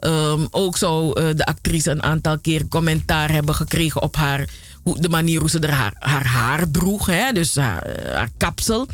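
Against noticeable background noise, a woman with a very deep, low pitch talks at a fairly slow pace in an animated tone, with ordinary pitch variation and very even loudness. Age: 40s. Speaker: radio host. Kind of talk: radio presenting.

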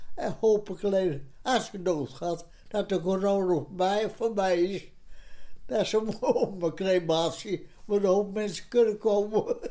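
Very slow speech comes in a dark, mellow tone with ordinary pitch variation. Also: woman, medium pitch for a woman. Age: 90s. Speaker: elderly interviewee. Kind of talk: interview.

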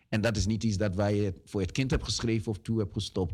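A man speaks with a fairly low pitch. The recording is very clean, the background silent. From Ghana, moved to the Netherlands at 11. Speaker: community activist. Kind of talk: radio interview. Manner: halting with fillers.

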